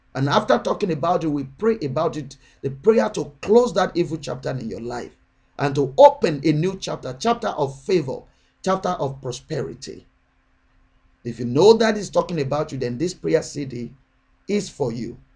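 Against a quiet background, a man with a fairly high pitch speaks at a moderate pace, his intonation lively and his loudness swinging widely. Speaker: prayer channel minister. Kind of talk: sermon and prayer. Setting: online video address. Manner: fervent, urgent, exhorting; repetitive, rhythmic, declarative. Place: home room. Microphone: webcam.

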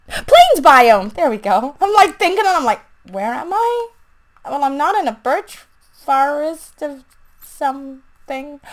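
A woman speaks at a fairly slow pace. Her high pitch makes very wide swings. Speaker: gaming YouTuber. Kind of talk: casual gameplay commentary. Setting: home recording, gameplay voiceover. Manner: animated, chatty.

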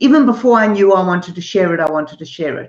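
A woman's voice carries audible room echo over a quiet background. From Zimbabwe / South Africa. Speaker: artist, art teacher and author. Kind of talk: interview. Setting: artist's studio, streamed live. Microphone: video call.

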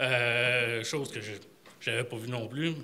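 Ordinary pitch variation marks this voice with a Quebec accent. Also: man. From Quebec City. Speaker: retiree, audience member. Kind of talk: audience comment. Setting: library public event with audience. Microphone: podium.

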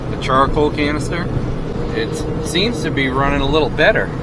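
Loud background noise surrounds a man speaking at a moderate pace with ordinary pitch variation, in a dry sound with no echo. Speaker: vehicle vlogger. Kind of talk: casual vlog chat. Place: car. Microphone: camera far.

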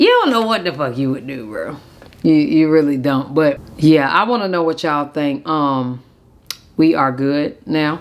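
Her pitch is very deep and low, yet a woman's intonation stays lively. She speaks at a fairly slow pace. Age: 30s. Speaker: YouTuber. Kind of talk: casual vlog storytime. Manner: animated. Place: home room.

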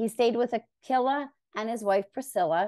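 At a moderate pace, a woman speaks in a dark, mellow tone against a quiet background. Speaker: podcast host. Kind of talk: Bible teaching discussion. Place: home room. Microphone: studio mic.

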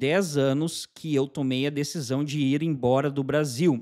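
This man uses ordinary pitch variation, and the background is quiet. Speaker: channel host. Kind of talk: casual vlog chat. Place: home room. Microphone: studio mic.

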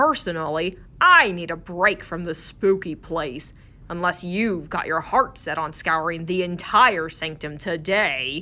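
A gruff, put-on character voice sits at a middle pitch. It moves at a fairly slow pace against a quiet background. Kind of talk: audiobook character voice. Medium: read story. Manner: gruff, dry, deadpan.

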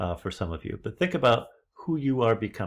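Against a quiet background, a man speaks at a moderate pace in a somewhat breathy voice. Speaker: leadership trainer. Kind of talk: lecture. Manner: animated. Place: home room. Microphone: webcam.

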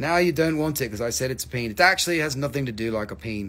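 A man talks at a fairly quick pace with a fairly bright tone.

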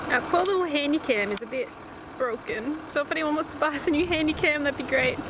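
A woman's high-pitched voice at a moderate pace, dry with no echo, against noticeable background noise. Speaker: travel vlogger. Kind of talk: casual vlog chat. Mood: cheerful, upbeat. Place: street. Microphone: phone near.

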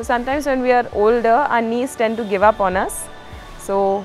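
A woman at a moderate pace with ordinary pitch variation, dry sound with no echo, and faint music in the background. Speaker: yoga instructor. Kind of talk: exercise class instruction. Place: garden.

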